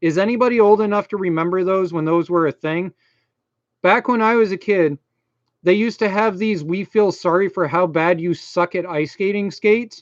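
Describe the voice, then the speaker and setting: With a strong Maine accent, a man speaks at a high pitch and moderate pace with ordinary pitch variation, in a dry, close recording with no echo and a quiet background. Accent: thick Maine. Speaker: YouTuber, computer repair. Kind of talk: live stream chat. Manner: casual, filler-heavy.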